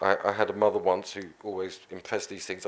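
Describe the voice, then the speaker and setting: In a very clean recording with a silent background, a man is mumbling at a fairly quick pace with a fairly low pitch and monotone, flat intonation. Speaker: politician. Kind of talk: panel talk. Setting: conference stage with audience.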